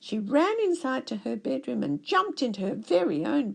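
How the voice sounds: The clip presents a natural reading voice.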